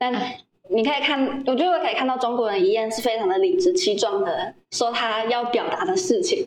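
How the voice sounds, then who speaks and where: Speaking at a fairly quick pace, a woman with a high pitch makes very wide pitch swings. Audible room echo surrounds her voice. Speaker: former overseas volunteer, video team member. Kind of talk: casual interview.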